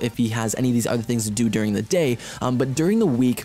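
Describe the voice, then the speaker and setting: Over noticeable background noise, a man talks at a fairly quick pace. His medium-pitched voice has lively intonation. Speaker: gaming commentator. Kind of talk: gameplay commentary, advice talk. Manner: casual, hesitant.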